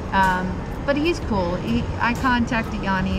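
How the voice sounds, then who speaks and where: A woman's voice over music in the background. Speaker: travel vlogger. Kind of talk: casual vlog chat. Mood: annoyed, venting about host. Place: station. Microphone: phone near.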